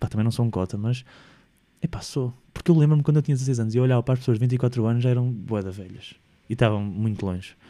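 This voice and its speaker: A man's dark, mellow voice in a European Portuguese accent, very fast and with ordinary pitch variation. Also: medium pitch for a man. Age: 20s. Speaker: podcast host. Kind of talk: solo casual monologue. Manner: animated.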